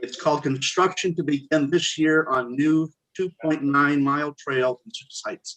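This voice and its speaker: There is a plain, everyday voice here: a man at a fairly high pitch and moderate pace with fairly even intonation, recorded with a dry, close sound and no echo. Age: 60s. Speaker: committee member. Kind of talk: public meeting discussion. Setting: video call.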